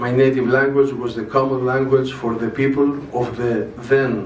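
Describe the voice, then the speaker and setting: A man with a Greek accent at medium pitch, moderate pace and monotone, flat intonation, with audible room echo and noticeable background noise. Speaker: religious movement representative. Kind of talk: conference speech. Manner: formal.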